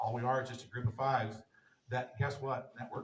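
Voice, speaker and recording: A somewhat breathy man with an American accent, medium pitch and a fairly quick pace. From US Midwest, southwest Missouri. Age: 60s. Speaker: entrepreneur speaker. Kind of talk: motivational talk. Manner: animated.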